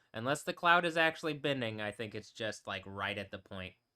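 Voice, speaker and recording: A man is speaking here. His tone comes across bright and sharp. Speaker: DJ and live streamer. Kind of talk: casual live-stream monologue. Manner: rambling, halting with many fillers.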